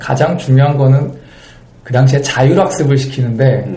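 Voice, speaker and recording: The man's voice is fairly high in pitch and moves at a moderate pace. Noticeable background noise and audible room echo surround him. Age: 30s. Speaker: stage actor. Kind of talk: interview.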